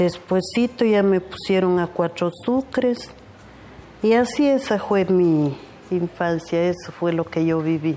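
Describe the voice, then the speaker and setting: Very slow speech with lively intonation and very even loudness. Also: woman, fairly low pitch for a woman. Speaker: farm worker. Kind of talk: life story testimony.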